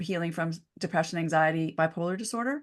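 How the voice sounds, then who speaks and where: A woman's unremarkable speaking voice at a fairly quick pace, with ordinary pitch variation and a quiet background. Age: 50s. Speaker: naturopathic doctor and author. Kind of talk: interview.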